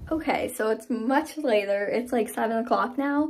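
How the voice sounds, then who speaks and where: A woman with a fairly high pitch talks at a moderate pace with lively intonation. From Upstate New York (Adirondacks); New York. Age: 20s. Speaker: college student vlogger. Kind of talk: casual vlog. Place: home room. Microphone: phone near.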